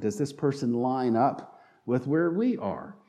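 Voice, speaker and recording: With a slight Southern accent, a man talks at a moderate pace using very wide pitch swings. Audible room echo colors the recording. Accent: slight southern twang. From North Carolina. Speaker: pastor. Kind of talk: sermon.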